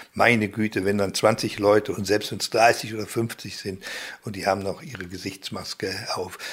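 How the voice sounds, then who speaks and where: With a fairly low pitch, a man speaks at a moderate pace in a monotone, flat intonation. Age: 60s. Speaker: left-wing publisher. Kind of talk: interview.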